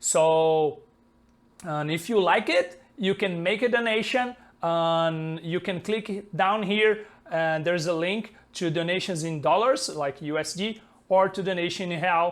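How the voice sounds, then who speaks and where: This man has a high pitch and a Brazilian Portuguese accent. He talks at a fairly slow pace with ordinary pitch variation. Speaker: software developer and colorist. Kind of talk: tutorial. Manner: halting, many fillers. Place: home room. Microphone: lapel.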